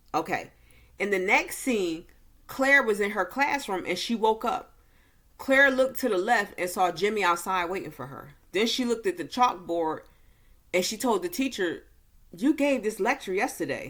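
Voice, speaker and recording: A woman speaks at a fairly high pitch with very wide pitch swings. The recording is very clean, with a silent background. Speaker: movie reviewer. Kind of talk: casual movie recap to camera. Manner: slow.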